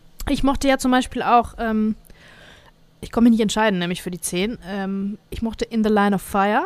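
A woman talks in a plain, everyday voice at a fairly quick pace. Her pitch is fairly high, with ordinary pitch variation. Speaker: podcast host. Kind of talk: casual chat.

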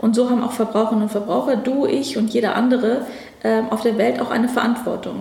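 A woman speaks at a fairly quick pace and fairly high pitch, with ordinary pitch variation, amid noticeable background noise and audible room echo. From Afghanistan, moved to Germany as a child. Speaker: government ministry department head. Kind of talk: interview. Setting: ministry office.

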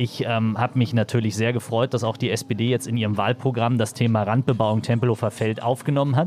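Speaking at a fairly quick pace with hardly any pauses, a man keeps a medium pitch, monotone, flat intonation and very even loudness. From Berlin (East, Marzahn-Hellersdorf). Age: 30s. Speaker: politician. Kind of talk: interview. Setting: on a train. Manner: halting, many fillers.

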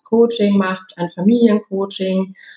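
A woman with a plain, everyday voice, medium pitch, fairly even intonation and a fairly slow pace. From Germany, Osnabrück. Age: 40s. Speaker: intercultural trainer and coach. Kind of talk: expert interview.

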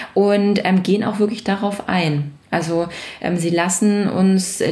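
Amid noticeable background noise and audible room echo, a woman of medium pitch talks at a very slow pace. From Baden-Württemberg, near Stuttgart. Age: 30s. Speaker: business owner and association chair. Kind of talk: interview.

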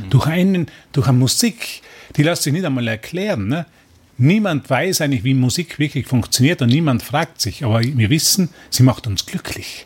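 Lively intonation marks this somewhat breathy voice, which keeps a moderate pace. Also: man, fairly high pitch for a man. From Austria, Tyrol. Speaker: spiritual course teacher. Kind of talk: radio interview. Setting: radio studio. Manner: halting, repetitive.

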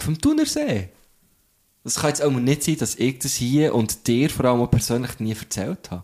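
A man's dark, mellow tone with ordinary pitch variation, in a very clean recording with a silent background. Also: medium pitch for a man, moderate pace. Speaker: podcast host. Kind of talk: casual chat. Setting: studio.

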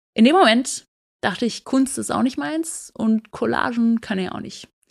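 A woman at a fairly high pitch and moderate pace, with lively intonation, on a very clean recording with a silent background. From Baden-Württemberg, Germany. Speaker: podcast host. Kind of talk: solo podcast monologue.

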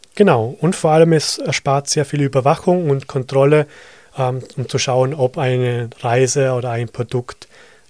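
With a slight Vorarlberg accent, a man talks at a medium pitch with fairly even intonation, and the sound is dry and close with no echo. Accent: Vorarlberg Austrian German, light. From Austria, Vorarlberg. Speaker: digital advertising consultant. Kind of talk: podcast interview.

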